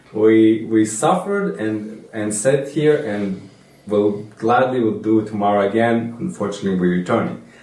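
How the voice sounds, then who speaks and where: A man's fairly low voice with ordinary pitch variation, noticeable background noise and audible room echo. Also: moderate pace. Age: young. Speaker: trip participant. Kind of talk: casual group discussion.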